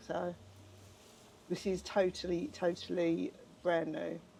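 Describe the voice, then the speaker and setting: A woman in an Essex accent, fairly low pitch, dark and mellow in tone. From Essex, England. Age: 50s. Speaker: charity shop manager. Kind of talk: casual chat.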